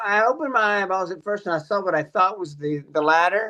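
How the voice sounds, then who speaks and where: With ordinary pitch variation, a raised, projected voice carries a bright, sharp tone. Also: man. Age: 50s. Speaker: TV morning show personality. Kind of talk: casual chat.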